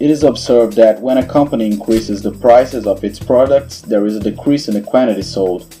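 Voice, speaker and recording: With music in the background, a man with a non-native accent speaks at a fairly quick pace and ordinary pitch variation. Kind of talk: educational explainer narration.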